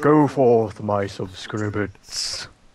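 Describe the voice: Using a put-on character voice, a man talks at a fairly low pitch.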